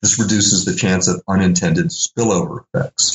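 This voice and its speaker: An ordinary speaking voice at a moderate pace. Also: man. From US South, Little Rock, Arkansas. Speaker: philosophy professor. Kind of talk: interview.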